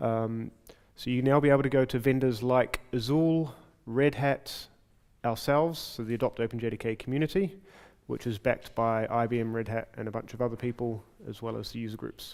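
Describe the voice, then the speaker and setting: A man with a New Zealand accent talks at a medium pitch with ordinary pitch variation. He moves at a fairly quick pace on a very clean recording with a silent background. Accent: New Zealand (Kiwi). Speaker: software developer and conference speaker. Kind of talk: conference talk. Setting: stage with audience. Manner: fast.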